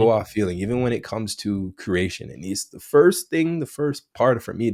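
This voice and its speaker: A man talks at medium pitch and a moderate pace with lively intonation. His loudness swings a great deal. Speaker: content creator.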